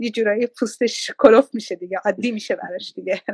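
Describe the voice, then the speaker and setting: A very fast woman at a fairly high pitch, in a monotone, flat intonation, dry and close with no echo. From Iran. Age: 50s. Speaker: businesswoman and mother. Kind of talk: interview, casual chat. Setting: live video stream.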